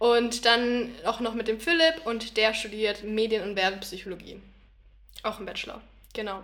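A woman speaks in a normal speaking voice at a fairly high pitch. Her pace is moderate and her pitch variation ordinary. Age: 20s. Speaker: university student. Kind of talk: casual chat.

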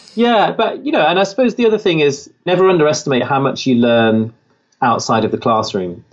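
With an English Midlands accent, a man talks at a fairly quick pace in a fairly high pitch, his pitch swinging very widely while his loudness stays very even. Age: 30s. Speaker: author and entrepreneur. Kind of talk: interview.

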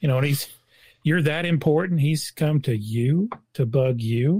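Heard on a very clean recording with a silent background, a man speaks at a moderate pace in a medium pitch with ordinary pitch variation. His tone is dark and mellow, and somewhat breathy. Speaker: co-host. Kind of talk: casual Bible study discussion.

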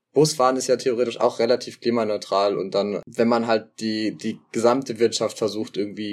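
Speech comes at a fairly quick pace with ordinary pitch variation. The background is silent and the recording very clean. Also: man. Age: 20s. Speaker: sociology student. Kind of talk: casual interview. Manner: hesitant, many fillers.

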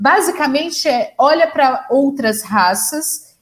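Her pitch is high, and she is a woman. It swings very widely from moment to moment. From interior of São Paulo state, Brazil. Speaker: journalist and communication doctoral researcher. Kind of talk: conversational panel discussion. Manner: halting, many fillers and repetitions.

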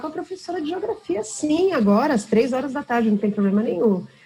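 Noticeable background noise sits behind a woman's voice. Her pitch is high and swings very widely. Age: 40s. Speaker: HR executive. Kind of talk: casual chat.

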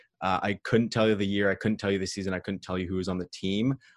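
In an unremarkable speaking voice with a Canadian accent, a man with a fairly low pitch and fairly even intonation is heard against a quiet background, dry and close with no echo. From Ontario, Canada (small town near Owen Sound). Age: 20s. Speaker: sports media student. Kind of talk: casual chat. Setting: video call.

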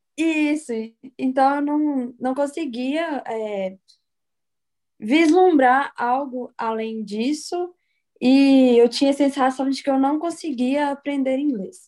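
A woman speaks very slowly in a high pitch with a dark, mellow tone and ordinary pitch variation, in a very clean recording with a silent background. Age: 20s. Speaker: law graduate and language student. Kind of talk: interview.

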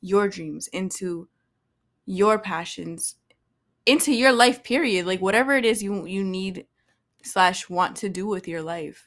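In a very clean recording with a silent background, a woman with an American accent speaks at a fairly slow pace with medium pitch, ordinary pitch variation and an unremarkable speaking voice. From Boston, US. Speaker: podcast host, actress. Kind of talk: casual solo monologue. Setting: recording at home with incense. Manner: casual, filler-heavy.

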